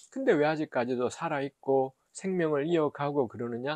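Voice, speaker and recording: A man speaks at a fairly high pitch, the sound dry with no echo and the background quiet. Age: middle-aged. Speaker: professor and theologian; theology professor. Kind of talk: short Bible reflection talk. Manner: hesitant, many filler sounds. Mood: earnest, reflective. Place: office. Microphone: lapel.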